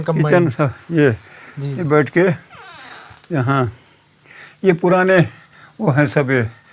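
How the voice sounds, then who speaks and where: His pitch sits fairly high for a man, with ordinary pitch variation. Noticeable background noise runs under the recording. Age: 80s+. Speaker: farmer. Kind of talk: interview answer, giving a house tour. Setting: outdoors, rural village homestead.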